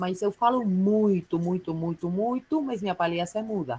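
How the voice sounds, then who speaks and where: In a Uruguayan accent, a woman speaks at a fairly slow pace. Her medium-pitched voice has lively intonation. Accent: Uruguayan accent in Portuguese, noticeable. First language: Spanish (speaking Portuguese). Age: 30s. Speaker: clown and juggler, workshop participant. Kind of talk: self-introduction in online workshop. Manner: hesitant, many fillers.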